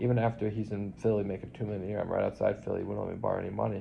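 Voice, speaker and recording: Very fast and fairly low-pitched, a man talks with vocal fry. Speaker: vlogger in nursing home. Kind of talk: personal testimony monologue. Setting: nursing home. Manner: rambling, halting with fillers.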